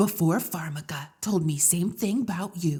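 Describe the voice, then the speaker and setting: A woman's put-on character voice, fairly low in pitch with ordinary pitch variation, at a fairly slow pace. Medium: audio drama. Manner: broken clipped speech.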